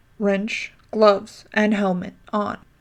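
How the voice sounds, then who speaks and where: In a put-on character voice, the speaker growls with flat, monotone intonation. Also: woman, medium pitch for a woman. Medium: read story. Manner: curt, growling.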